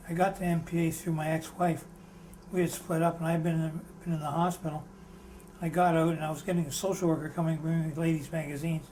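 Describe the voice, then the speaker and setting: A man speaking very fast at a high pitch, monotone and flat, over noticeable background noise. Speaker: former psychiatric patient, interviewee. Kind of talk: oral history interview.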